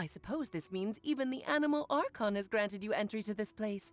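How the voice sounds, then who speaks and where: A female-sounding voice does a put-on character voice at a fairly quick pace, pitched medium for a woman. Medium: virtual streamer.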